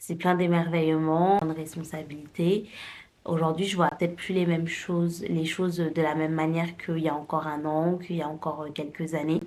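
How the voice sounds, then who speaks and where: Her intonation is monotone and flat, at a moderate pace. The woman's pitch is fairly low. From France, Paris. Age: 20s. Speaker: lifestyle vlogger. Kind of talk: casual talk to camera. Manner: hesitant, many fillers.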